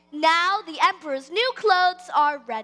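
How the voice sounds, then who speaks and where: A woman uses a put-on character voice at a moderate pace. Music plays in the background. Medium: stage play. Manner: smooth, ingratiating.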